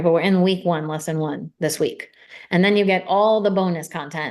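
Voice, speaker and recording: A woman talks at a fairly quick pace in a medium pitch with ordinary pitch variation. Hers is a plain, everyday voice, heard against a quiet background. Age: 40s. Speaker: mindset coach. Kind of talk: sales pitch.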